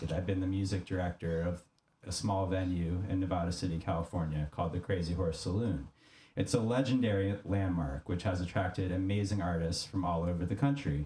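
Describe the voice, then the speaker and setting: A man speaks at a fairly quick pace in a very deep, low pitch, with a dark, mellow tone and a somewhat breathy quality. His pitch variation is ordinary, and his loudness stays very even. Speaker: podcast host and music director. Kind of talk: reading aloud.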